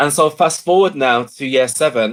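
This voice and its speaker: With an English accent, a man talks at a moderate pace and ordinary pitch variation. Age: 30s. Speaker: education speaker. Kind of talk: interview.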